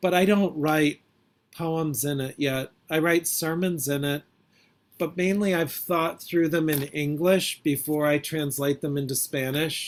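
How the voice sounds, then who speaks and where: A man talks in an ordinary speaking voice with a fairly high pitch. His pace is fairly slow and his intonation fairly even. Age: 50s. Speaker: poet and priest. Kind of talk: interview Q&A.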